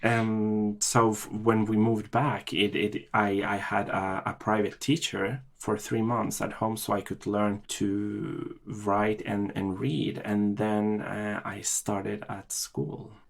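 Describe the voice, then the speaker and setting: With music in the background, a man with a Norwegian accent speaks very slowly in a fairly low voice, with hardly any pauses. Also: fairly even intonation. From Chile and Norway. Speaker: podcast guest, immigrant. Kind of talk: interview. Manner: halting, many fillers and repetitions.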